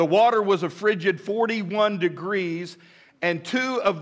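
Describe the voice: What we hear is plain reading aloud, its pitch varying in an ordinary way.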